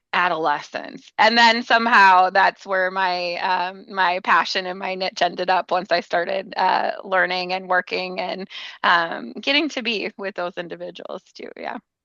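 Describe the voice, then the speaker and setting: A woman with a Minnesotan accent speaks in a bright, sharp tone at a fairly slow pace. There are hardly any pauses, and the sound is dry and close with no echo. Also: medium pitch for a woman, ordinary pitch variation. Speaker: family program trainer and therapist. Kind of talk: podcast interview.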